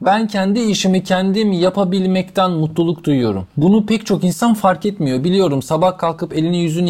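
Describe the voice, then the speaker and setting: A man talks at a moderate pace. His pitch is high for a man and his intonation fairly even. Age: 40s. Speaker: wheelchair user and motivational speaker. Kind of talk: interview, personal life story.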